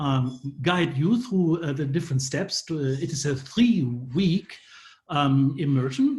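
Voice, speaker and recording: A man's somewhat breathy, fairly high voice in a German accent, at a fairly slow pace with ordinary pitch variation. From Germany. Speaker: professor. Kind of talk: presentation. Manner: halting, many fillers.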